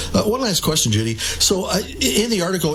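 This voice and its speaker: A man speaks at a moderate pace with very wide pitch swings. Noticeable background noise and audible room echo surround him. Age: 60s. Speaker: radio host. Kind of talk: radio interview.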